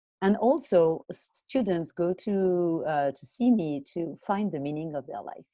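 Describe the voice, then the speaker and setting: Lively intonation in a French accent, with a dark, mellow tone, big swings in loudness and hardly any pauses. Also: woman, fairly low pitch for a woman. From France. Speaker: college and career coach. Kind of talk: interview. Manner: hesitant, many fillers.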